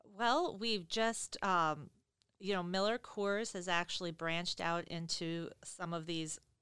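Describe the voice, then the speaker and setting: Bright, sharp tone in an American accent at a fairly slow pace, with ordinary pitch variation, on a very clean recording with a silent background and a dry, close sound with no echo. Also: woman. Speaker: business owner. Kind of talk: casual interview.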